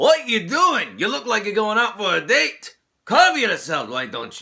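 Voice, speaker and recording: A man speaks in a put-on character voice, gruff, raised and projected, pitched high for a man. His pitch swings very widely at a moderate pace. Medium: solo performance. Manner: brash, gruff.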